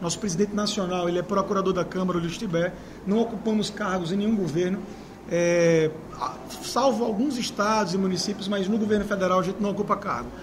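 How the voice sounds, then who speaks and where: A man with a high pitch talks at a very fast pace with fairly even intonation, amid noticeable background noise and audible room echo. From Maceió, Alagoas, Brazil. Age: 30s. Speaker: mayoral candidate. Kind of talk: interview.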